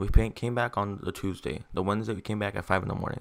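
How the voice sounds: The pace is fast, with vocal fry. Intonation stays fairly even. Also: man.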